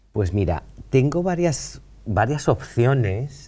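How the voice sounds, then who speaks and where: With a dark, mellow tone, a man's somewhat breathy voice makes very wide pitch swings. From Valencia, Spain; Spain. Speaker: painter; interview guest. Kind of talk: interview conversation. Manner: halting, many fillers. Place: studio.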